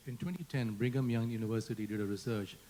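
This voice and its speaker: A man with an Indian accent and a dark, mellow tone speaks at a fairly quick pace. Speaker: panel moderator. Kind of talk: panel discussion.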